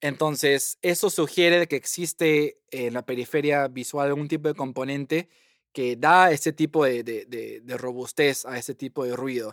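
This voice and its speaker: On a very clean, dry and close recording with a silent background and no echo, a man with a fairly high voice talks at a fairly slow pace with fairly even intonation. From Peru. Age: 30s. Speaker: computational neuroscientist. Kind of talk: interview.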